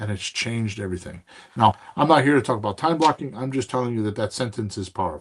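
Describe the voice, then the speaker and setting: At a very fast pace, a man talks in a somewhat breathy voice of medium pitch. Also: lively intonation. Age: 60s. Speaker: real estate investing podcast host and coach. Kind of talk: casual mentoring chat.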